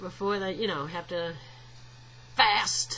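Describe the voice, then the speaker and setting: Her medium pitch, ordinary pitch variation and moderate pace come with a Southern US accent as this woman speaks. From US South. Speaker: video blogger. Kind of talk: casual vlog monologue. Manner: halting, with frequent fillers.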